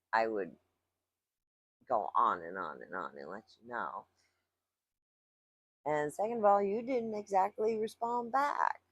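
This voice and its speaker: A woman speaks at a fairly slow pace with long, frequent pauses and big swings in loudness. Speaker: spiritual vlogger. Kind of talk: casual monologue vlog. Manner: loud at times; animated.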